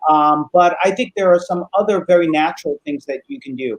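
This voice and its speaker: A man with an unremarkable speaking voice talks at a moderate pace, keeping his intonation fairly even. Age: 60s. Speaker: psychologist. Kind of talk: interview, giving expert advice. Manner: casual, with frequent fillers.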